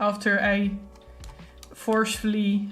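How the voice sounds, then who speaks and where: A woman at medium pitch speaks with a strong Dutch accent. Music plays in the background, and there is audible room echo. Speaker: artist streamer. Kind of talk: casual chat. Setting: live stream.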